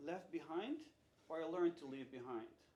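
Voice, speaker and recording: A man with a high pitch and ordinary pitch variation speaks through noticeable background noise. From Netherlands. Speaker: keynote speaker. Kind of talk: keynote talk. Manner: animated.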